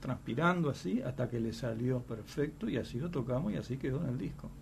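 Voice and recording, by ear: The voice moves at a fairly quick pace, with vocal fry and lively intonation. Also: man.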